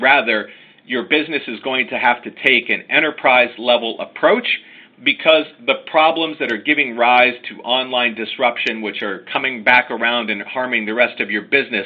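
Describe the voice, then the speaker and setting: Speaking with an American accent, a man has an unremarkable speaking voice, medium pitch, ordinary pitch variation and a moderate pace. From United States. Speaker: lawyer. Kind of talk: webinar presentation. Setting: online webinar.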